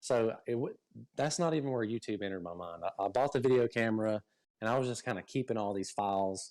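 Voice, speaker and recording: A man with a Southern US accent talks at a very fast pace. His pitch variation is ordinary, and the recording is very clean, with a silent background. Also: medium pitch for a man. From US state of Georgia. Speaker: fishing YouTuber. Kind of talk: casual interview. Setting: live stream.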